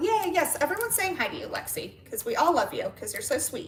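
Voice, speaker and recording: A woman with a high pitch can be heard over noticeable background noise. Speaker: livestreamer. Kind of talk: casual chat. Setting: live stream. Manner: animated.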